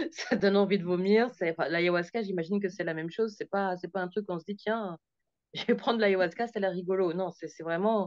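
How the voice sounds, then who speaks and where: Her pitch medium and her intonation fairly even, a woman talks at a fairly quick pace. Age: 40s. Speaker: group session participant. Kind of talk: testimony. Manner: fast; halting.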